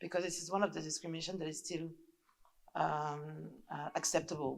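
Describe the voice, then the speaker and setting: A woman with a non-native accent speaks fairly quickly in a very deep, low, flat monotone with vocal fry and big swings in loudness. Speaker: audience member. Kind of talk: audience question. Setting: lecture hall with audience. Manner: halting, many fillers.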